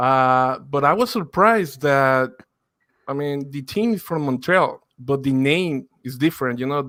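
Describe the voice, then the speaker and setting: A man with a Spanish accent speaks at a fairly slow pace in a bright, sharp tone, his fairly high pitch showing ordinary variation. The recording is very clean, with a silent background. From Mexico (Torreon). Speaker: football podcaster, guest. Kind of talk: casual podcast interview.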